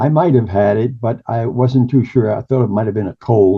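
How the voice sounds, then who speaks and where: The man's voice comes out somewhat breathy. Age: 80s+. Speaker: retired broadcaster and author. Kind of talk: interview.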